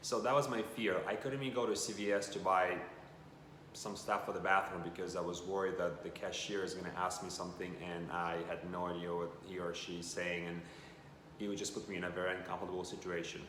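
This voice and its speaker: A man's very deep, low voice moves at a fairly quick pace with fairly even intonation. Audible room echo hangs around it. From Russia. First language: Russian. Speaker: vlogger. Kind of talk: casual vlog monologue.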